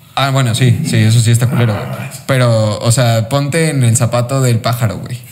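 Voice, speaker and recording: Intonation stays fairly even at a moderate pace, with hardly any pauses. There is noticeable background noise. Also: man, medium pitch for a man. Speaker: motorsport podcast host. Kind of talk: casual chat.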